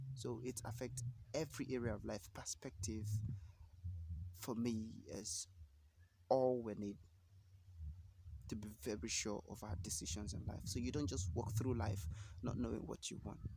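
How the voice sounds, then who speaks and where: The speaker is somewhat breathy, with ordinary pitch variation. The pace is moderate, broken by long, frequent pauses. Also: man, fairly low pitch for a man. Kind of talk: motivational talk to camera. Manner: casual, hesitant.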